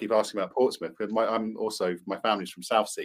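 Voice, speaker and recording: At a very fast pace, a man talks with a southern English accent. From England, Cambridge. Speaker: podcast co-host. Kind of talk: casual chat.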